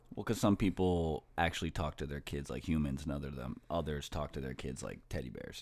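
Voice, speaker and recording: A fairly quick delivery with vocal fry, ordinary pitch variation, and hardly any pauses. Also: man, very deep, low pitch for a man. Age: 30s. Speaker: podcast host. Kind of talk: casual chat.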